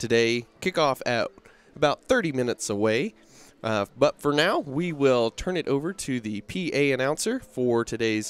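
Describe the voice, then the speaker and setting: Recorded with a dry sound and no echo, a man speaks at a moderate pace with ordinary pitch variation. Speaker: play-by-play commentator. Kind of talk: sports commentary. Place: stadium. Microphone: headset.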